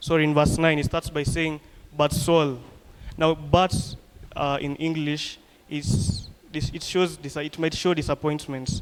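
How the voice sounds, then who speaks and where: A normal speaking voice from a man, fairly high-pitched, with fairly even intonation and a fairly slow pace. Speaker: preacher. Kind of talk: sermon.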